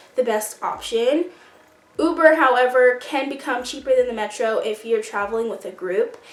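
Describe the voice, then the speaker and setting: With noticeable background noise around her, a woman keeps a moderate pace at a high pitch. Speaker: YouTuber, college student. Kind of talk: casual vlog advice.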